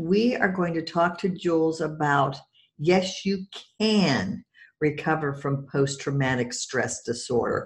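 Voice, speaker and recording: A woman's fairly low, somewhat breathy voice at a very slow pace with lively intonation. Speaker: podcast host and EFT practitioner. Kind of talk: interview.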